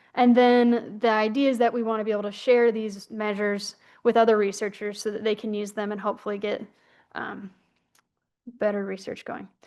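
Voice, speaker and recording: A woman speaks in a fairly high pitch. The background is quiet. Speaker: researcher. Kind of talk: conference presentation. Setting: conference session. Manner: fast.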